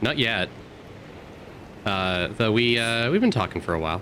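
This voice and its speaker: A man speaks with a bright, sharp tone and ordinary pitch variation. He leaves long, frequent pauses. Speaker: streamer. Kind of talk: casual chat. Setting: live stream. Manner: halting.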